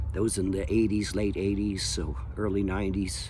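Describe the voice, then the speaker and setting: A man speaks at a moderate pace in a fairly low pitch, his pitch varying in an ordinary way, with audible echo from the room. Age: 70s. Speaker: window cleaning business owner. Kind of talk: casual monologue. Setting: outdoors in backyard. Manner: halting, many fillers.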